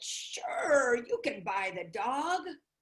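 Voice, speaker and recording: A woman uses a put-on character voice pitched high. Her pitch swings very widely. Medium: read story.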